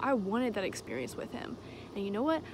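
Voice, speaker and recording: A woman speaks with ordinary pitch variation on a dry recording with no echo and noticeable background noise. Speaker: vlogger. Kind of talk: casual vlog chat. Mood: earnest, emotional, emphatic. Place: open country. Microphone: phone near.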